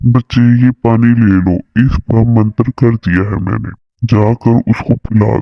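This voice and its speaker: A man's cartoonish character voice at a medium pitch, fairly slow pace and fairly even intonation. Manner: calm, fatherly.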